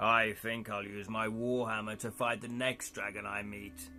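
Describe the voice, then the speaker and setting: A man uses a raspy, put-on character voice at a medium pitch, flat and monotone. He keeps a moderate pace while music plays clearly in the background. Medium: game stream.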